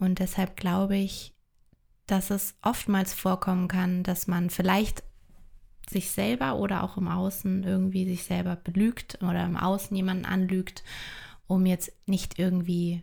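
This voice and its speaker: The voice is somewhat breathy and dark and mellow in tone, at a fairly slow pace with monotone, flat intonation. Its loudness stays very even on a very clean recording with a silent background. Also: woman. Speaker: podcast co-host and coach. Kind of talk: casual chat.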